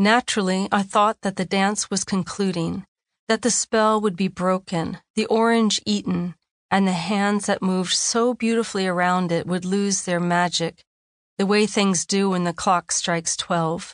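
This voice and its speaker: A woman's voice at medium pitch, an ordinary speaking voice, with very even loudness and fairly even intonation, in a dry, close recording with no echo and a quiet background. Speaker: audiobook narrator and chaplain author. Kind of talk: dramatic audiobook narration, reflective essay read aloud in a hushed, reverent tone. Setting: studio. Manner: slow, hushed and wondering, with suspenseful pauses and rising awe; intimate, lyrical and measured, savoring each image.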